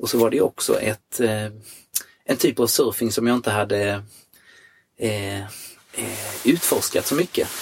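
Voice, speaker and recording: Somewhat breathy and medium in pitch, a man speaks at a moderate pace with long, frequent pauses and ordinary pitch variation, the sound dry and close with no echo. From Sweden, Jönköping. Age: 50s. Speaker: surfer. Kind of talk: casual interview. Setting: in a van.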